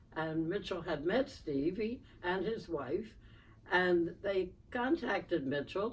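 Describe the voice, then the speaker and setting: A woman with a Philadelphia accent speaks at a fairly slow pace with very wide pitch swings. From Philadelphia, US. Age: 90s. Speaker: podcast guest, host's mother. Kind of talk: interview storytelling.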